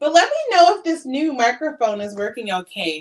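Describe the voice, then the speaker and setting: A woman speaks in an animated tone with very wide pitch swings. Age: 50s. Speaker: sewing vlogger. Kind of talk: casual chat. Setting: livestream.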